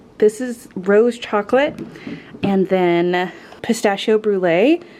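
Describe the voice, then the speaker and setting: Noticeable background noise accompanies a woman's voice. Her pitch is medium, with ordinary variation. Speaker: vlogger. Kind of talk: casual vlog talk.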